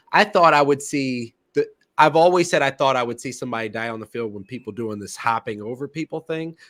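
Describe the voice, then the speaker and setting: A medium-pitched man with a slight Philadelphia accent speaks at a fairly quick pace with lively intonation and big swings in loudness, in a dry, close sound with no echo. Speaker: sports podcast host. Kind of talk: casual sports podcast chat. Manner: halting, many repeated words.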